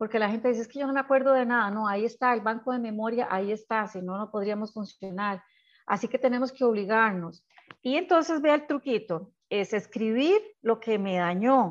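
A woman's fairly high-pitched, fairly quick speech with ordinary pitch variation and a plain, everyday voice. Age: 60s. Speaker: psychologist. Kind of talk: interview.

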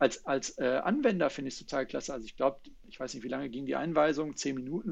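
Here a man talks at a very fast pace. His pitch sits fairly high. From Germany, Ruhr area. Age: 30s. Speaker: sales consultant. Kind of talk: interview.

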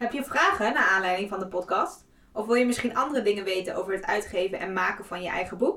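Her pace is very fast and her intonation lively. The woman's pitch is fairly high. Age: 30s. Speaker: podcast co-host and book cover designer. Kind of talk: scripted outro; casual chat.

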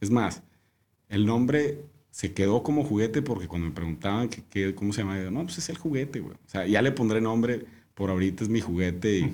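Speaking at a fairly quick pace, a man uses lively intonation. His voice has a dark, mellow tone and fairly low pitch. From Mexico, Monterrey. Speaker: winemaker. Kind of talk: casual chat.

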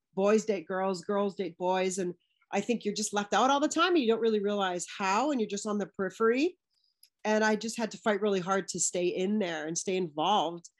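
With a Western Canadian accent, a woman speaks at a medium pitch and fairly quick pace, with ordinary pitch variation. The background is quiet. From Canada, British Columbia (Vancouver area). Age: 40s. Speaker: physical education teacher and children's sport advocate. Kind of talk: casual chat.

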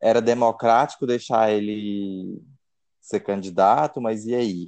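At a very slow pace, the speaker keeps the intonation fairly even. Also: man, quiet background. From Brazil, interior of Goiás. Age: 20s. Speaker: architect and political activist. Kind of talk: casual chat.

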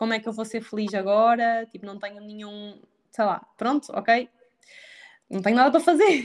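Speaking at a moderate pace, a woman with a fairly high pitch shows ordinary pitch variation. She leaves long, frequent pauses. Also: big swings in loudness, quiet background. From Portugal, Aveiro district. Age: 20s. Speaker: nutritionist. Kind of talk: casual chat. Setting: remote recording without headphones.

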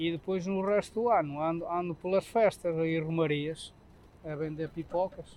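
At a moderate pace, a man with a high voice talks with fairly even intonation. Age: 60s. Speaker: street chestnut vendor. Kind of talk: interview. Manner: halting.

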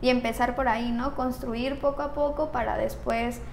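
A woman's high-pitched, monotone voice with flat intonation, audible room echo and noticeable background noise. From Mexico. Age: 20s. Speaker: young politician, tourism graduate. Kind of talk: interview. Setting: studio.

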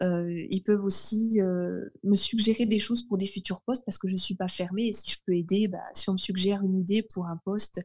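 A woman speaks at a moderate pace with hardly any pauses, her medium-pitched, somewhat breathy voice flat and monotone, captured in a dry, close sound with no echo on a very clean recording with a silent background. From northern France. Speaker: translator and French tutor. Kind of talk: casual interview chat.

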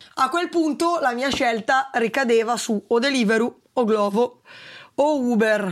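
A high-pitched woman's voice at a fairly slow pace, with ordinary pitch variation and very even loudness. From northern Italy, Valtellina. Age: 20s. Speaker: food delivery rider and cycle tourist. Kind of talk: interview.

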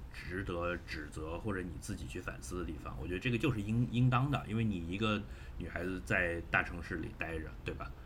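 Very deep and low in pitch, a man with vocal fry talks at a fairly quick pace with lively intonation, and room echo is audible. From Shenzhen, China. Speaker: podcast guest. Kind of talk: casual chat. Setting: video call.

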